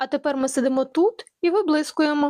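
Using a put-on character voice, a woman speaks at a high pitch and a fairly quick pace. The recording is dry and close, with no echo. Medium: read story. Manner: smug.

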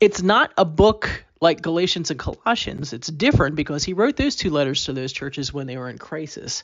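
With an American accent, the speaker talks at a fairly quick pace with hardly any pauses. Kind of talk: Bible reading aloud and prayer; casual talk to camera. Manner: conversational, friendly intro.

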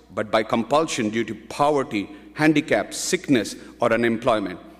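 At a fairly quick pace, a man talks with a quiet background behind him. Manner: earnest, reverent, devout, with a rhythmic, pleading cadence; formal, measured, fervent. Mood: solemn, calm. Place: hall. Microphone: podium.

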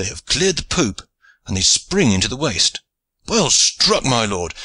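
Putting on a character voice, a man speaks at a fairly slow pace with a medium pitch, big pitch swings, a bright, sharp tone and a slightly husky edge.

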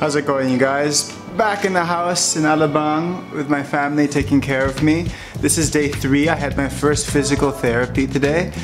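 Clear music plays in the background. The voice moves at a moderate pace with ordinary pitch variation. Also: man. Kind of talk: casual vlog chat. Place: home room. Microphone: phone near.

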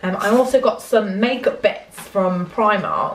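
With audible room echo around her, the woman talks using ordinary pitch variation. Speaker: vlogger. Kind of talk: casual vlog chat. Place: home room. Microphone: phone near.

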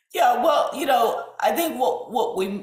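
A woman speaks over a quiet background. Her voice carries audible room echo. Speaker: epidemiologist, college president. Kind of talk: panel discussion. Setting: online live web event. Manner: hesitant, many fillers. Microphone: webcam.

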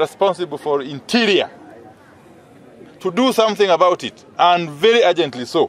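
A man's high voice, fairly quick and with lively intonation, on a dry recording with no echo and light background noise. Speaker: politician addressing press. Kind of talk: press statement. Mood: firm, concerned. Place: street.

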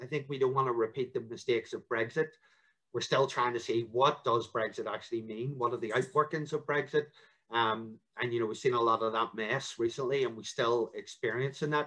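Fairly quick and fairly even in intonation, a man with a Northern Irish accent speaks at a medium pitch with a bright, sharp tone. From Northern Ireland. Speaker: local politician. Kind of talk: interview. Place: home room. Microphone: video call.

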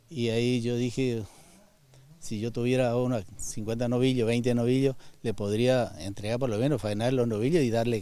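In a dry sound with no echo, a man speaks at a moderate pace with fairly even intonation, a medium pitch and a dark, mellow tone. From Argentina, Misiones. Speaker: rancher and timber business owner. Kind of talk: interview. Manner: halting, with repetitions and fillers. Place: forest. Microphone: handheld.

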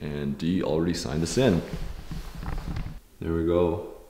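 A man's very deep, low voice with audible room echo and light background noise. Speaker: travel vlogger. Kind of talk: casual vlog chat. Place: open country. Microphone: phone near.

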